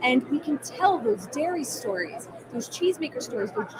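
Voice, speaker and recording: A woman speaks at a moderate pace in a high pitch. Noticeable background noise is present. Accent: New Jersey. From New Jersey, US Northeast. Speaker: food brand marketer. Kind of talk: interview at trade show.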